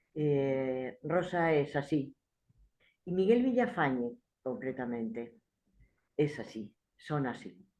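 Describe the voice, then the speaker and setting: Very slowly and with long, frequent pauses, a woman speaks in a very deep, low voice with lively intonation. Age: 70s. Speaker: theatre practitioner. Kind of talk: book presentation speech. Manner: halting, with repetitions.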